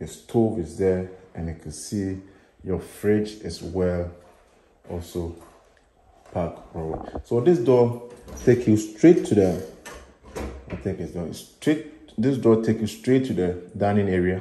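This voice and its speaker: A man speaks at a very slow pace in a fairly low voice, with ordinary pitch variation and long, frequent pauses. His loudness swings widely, and the recording has light background noise and audible room echo. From Ghana. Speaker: real estate agent. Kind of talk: property tour video. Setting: walking tour of a house. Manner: casual, rambling narration. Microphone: phone near.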